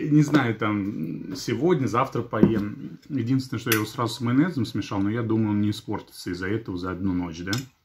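A man's lively, up-and-down delivery at a fairly quick clip, hardly any pauses, over noticeable background noise. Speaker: vlogger. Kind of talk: casual vlog chat. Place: kitchen. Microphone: phone near.

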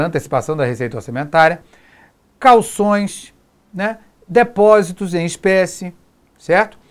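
A man with lively intonation talks at a moderate pace, the background quiet. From Brazil. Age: 40s. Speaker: exam prep teacher. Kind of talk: lecture. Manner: informal, frequent filler 'né'. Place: studio. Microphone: lapel.

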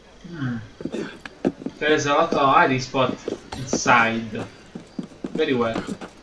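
Over noticeable background noise, a man speaks with long, frequent pauses. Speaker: gaming YouTuber. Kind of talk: gameplay commentary. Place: home room.

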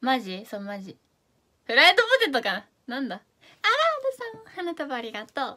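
A woman with a Fukuoka accent, high-pitched, bright and sharp in tone, her raised, projected voice animated, with very wide pitch swings and big swings in loudness, at a moderate pace against a quiet background. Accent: Hakata dialect. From Japan, Fukuoka; Japan. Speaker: idol live streamer. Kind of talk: live stream chat reading comments. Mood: cheerful, playful. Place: home room. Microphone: phone near.

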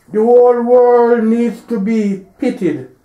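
High male voice at a very slow pace, with audible room echo. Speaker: preacher. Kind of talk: religious sermon or teaching delivered to an audience. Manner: preachy, admonishing, didactic. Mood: earnest, smiling. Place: church.

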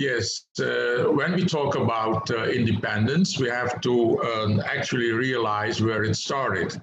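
A man speaks at a very slow pace with ordinary pitch variation and very even loudness. Noticeable background noise is present. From Suriname. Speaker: economist; guest lecturer. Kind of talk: lecture. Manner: halting. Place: home room. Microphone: video call.

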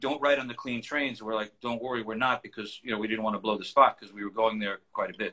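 With a quiet background, a man speaks in a bright, sharp tone with ordinary pitch variation. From New York City, Queens; New York. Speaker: collage artist. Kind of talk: casual interview. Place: home room. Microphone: video call.

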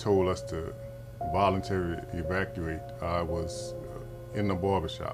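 Clear music plays in the background as a man speaks at a very deep, low pitch. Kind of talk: interview answer. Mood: reflective storytelling. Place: shop.

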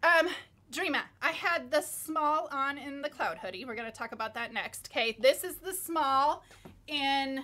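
A woman's raised, projected voice with an American accent, high pitch, bright and sharp tone, ordinary pitch variation and a moderate pace. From Minnesota. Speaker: fashion brand owner and designer. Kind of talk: live shopping stream. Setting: live video stream. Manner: animated. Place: studio.

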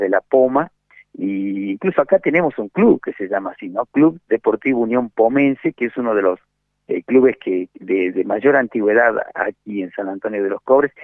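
A man speaks at a moderate pace with a medium pitch and ordinary pitch variation. The background is quiet, and the sound is dry with no echo. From Argentina, Puna region of Salta. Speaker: journalist. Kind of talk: interview. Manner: halting, many fillers and repetitions. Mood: friendly, informative. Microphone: video call.

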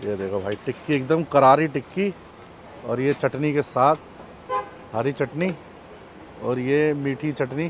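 A man's very slow speech with long, frequent pauses and ordinary pitch variation, a dry sound with no echo, and noticeable background noise. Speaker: food vlogger. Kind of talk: casual vlog chat. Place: street.

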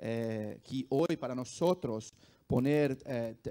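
A man speaks at a very slow pace with a Brazilian accent. His voice has medium pitch and a dark, mellow tone. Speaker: esports company executive; panelist. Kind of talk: panel discussion. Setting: stage with audience. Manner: halting. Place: hall. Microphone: handheld.

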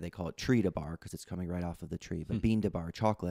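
A man is speaking over a quiet background. His pitch varies in an ordinary way. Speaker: guest. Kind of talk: interview answer. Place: home room. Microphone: studio mic.

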